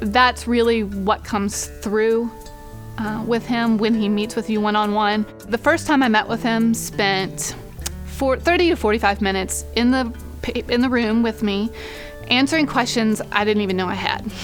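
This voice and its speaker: Against music in the background, a woman speaks with a fairly high pitch. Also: ordinary pitch variation, moderate pace. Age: 30s. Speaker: heart patient. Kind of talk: interview answer.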